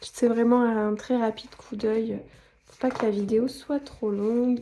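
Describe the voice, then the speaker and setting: With monotone, flat intonation, this woman talks at a fairly high pitch. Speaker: scrapbooking YouTuber. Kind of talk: product haul review. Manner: casual, with frequent hesitations.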